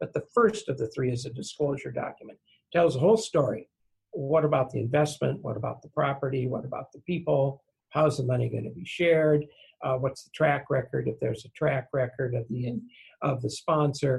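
A man's medium-pitched voice with vocal fry, big swings in loudness, ordinary pitch variation and a fairly quick pace. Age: 70s. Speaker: real estate securities attorney. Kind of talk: interview. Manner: folksy.

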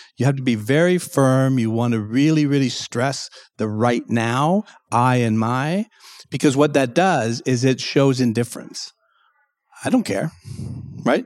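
A man talks fairly slowly, stopping often for long pauses. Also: medium pitch for a man, ordinary pitch variation. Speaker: clinical psychologist. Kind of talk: interview. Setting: live event venue.

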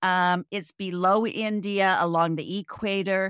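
A woman has an unremarkable speaking voice with fairly even intonation, recorded with a dry, close sound and no echo. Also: very clean recording, silent background. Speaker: podcast host, travel hacker. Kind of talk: casual chat.

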